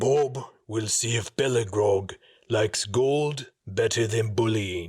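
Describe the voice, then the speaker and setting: Quietly, a man uses a put-on character voice at a medium pitch and a fairly slow pace. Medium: read story. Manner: refers to himself in third person; quiet, simple speech.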